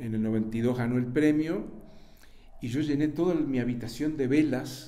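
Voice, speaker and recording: With a Uruguayan accent and a dark, mellow tone, the speaker goes at a moderate pace amid audible room echo. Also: man. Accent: Rioplatense Spanish (Uruguayan). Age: 70s. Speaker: writer and journalist. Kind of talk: interview.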